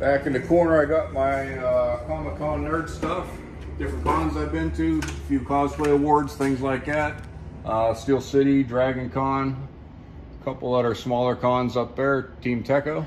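A man at a fairly slow pace over light background noise. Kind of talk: casual vlog chat. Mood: relaxed, fond. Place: workshop. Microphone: phone near.

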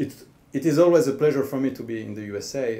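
The voice carries a French accent and a dark, mellow tone. Its pitch varies in an ordinary way. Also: man. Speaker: government official, cultural diplomacy director. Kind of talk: formal speech. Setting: embassy reception in front of an audience. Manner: formal. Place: hall. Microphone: podium.

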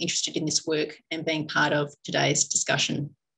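A woman's somewhat breathy voice moves at a fairly quick pace. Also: quiet background. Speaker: forum host. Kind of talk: formal welcome and introductions. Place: meeting room. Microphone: video call.

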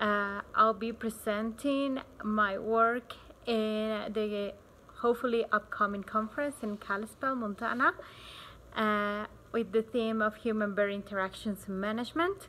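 In a Spanish accent, a woman speaks fairly slowly at a fairly high pitch with a bright, sharp tone. Light background noise is present. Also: fairly even intonation. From Bolivia. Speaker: wildlife researcher. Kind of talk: research talk preview to camera. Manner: frequent hesitations (uh, um). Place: garden. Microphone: phone near.

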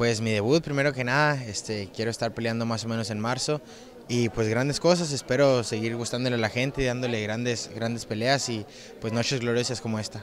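At a fairly quick pace, a man speaks with fairly even intonation in a dry sound with no echo over light background noise. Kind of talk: interview answer. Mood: proud, pleased. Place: hall. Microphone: handheld.

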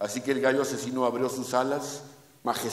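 This is a natural reading voice. It reads the words aloud.

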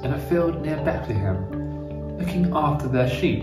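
Reading aloud, plain

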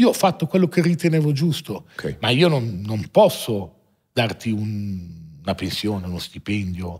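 Against a quiet background, a man with a fairly low pitch speaks somewhat breathily at a fairly slow pace, his pitch swinging very widely. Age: 40s. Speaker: watch dealer, entrepreneur; podcast guest. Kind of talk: interview, life story. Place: studio. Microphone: studio mic.

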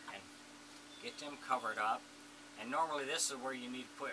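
Noticeable background noise sits under a man's voice, which has ordinary pitch variation. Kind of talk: tutorial. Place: workshop. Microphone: camera far.

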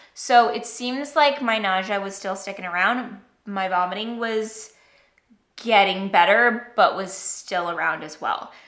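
A woman speaks at a fairly slow pace with ordinary pitch variation and big swings in loudness. Audible room echo surrounds her voice. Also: medium pitch for a woman. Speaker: vlogger. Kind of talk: casual vlog monologue.

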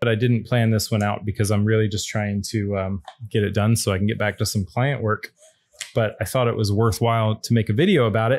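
At a fairly quick pace, a man speaks in a normal speaking voice with a fairly low pitch and fairly even intonation. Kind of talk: casual unboxing tutorial. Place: studio. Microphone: studio mic.

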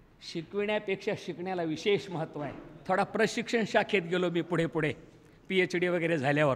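A man speaks at a high pitch with ordinary pitch variation. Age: 70s. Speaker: retired school teacher and college principal; retired school teacher. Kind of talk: speech at school reunion. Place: hall. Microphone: podium.

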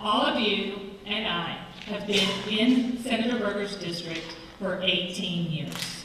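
A woman speaks at a very slow pace with an American accent and ordinary pitch variation, over noticeable background noise and audible room echo. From eastern North Carolina. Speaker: political candidate, teacher. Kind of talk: candidate forum debate. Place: hall. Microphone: podium.

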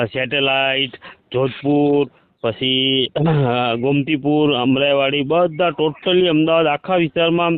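The clip features an unremarkable speaking voice with ordinary pitch variation. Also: man. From Gujarat, Saurashtra (village near Sayla). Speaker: caller. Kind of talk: phone-in discussion. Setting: phone call.

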